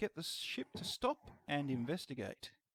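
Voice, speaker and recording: With an Australian accent, a man speaks at a fairly slow pace and a fairly high pitch. The sound is dry and close, with no echo. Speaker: game master. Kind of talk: scene-setting narration.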